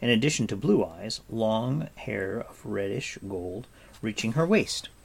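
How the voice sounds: Here is a natural reading voice. The intonation is lively.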